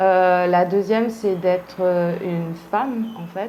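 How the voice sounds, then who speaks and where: A woman with a dark, mellow tone and a fairly low pitch speaks at a very slow pace. Her intonation stays fairly even, and room echo is audible. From Réunion, raised from early childhood after Paris suburbs. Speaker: artist interviewee. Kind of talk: interview testimony. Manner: halting, many hesitations.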